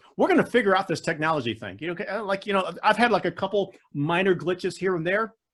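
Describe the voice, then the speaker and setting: The man talks at a very fast pace in an American accent, his tone animated. His pitch is high, with ordinary pitch variation. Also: hardly any pauses. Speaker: public speaking champion and coach. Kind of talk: Q&A in online club meeting.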